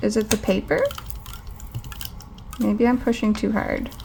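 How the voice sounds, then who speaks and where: A woman speaks. Her pitch is high. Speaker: planner hobbyist vlogger. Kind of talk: casual craft tutorial. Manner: louder than usual.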